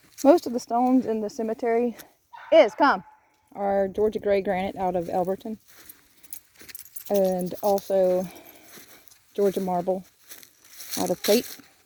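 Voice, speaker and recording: A woman with a medium pitch speaks with long, frequent pauses. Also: ordinary pitch variation. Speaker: cemetery restoration business owner. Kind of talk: casual video walkthrough tour. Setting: outdoors in a cemetery. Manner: fast.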